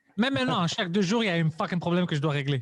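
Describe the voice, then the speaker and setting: A fairly high male voice with lively intonation and a non-native accent, against a quiet background. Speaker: stand-up comedian and podcaster. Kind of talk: casual interview chat.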